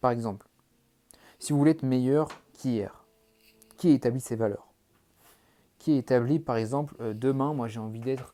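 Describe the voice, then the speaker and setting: A man with a dark, mellow tone speaks at a medium pitch, leaving long, frequent pauses as his loudness swings widely. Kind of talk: monologue to camera. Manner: fast; animated.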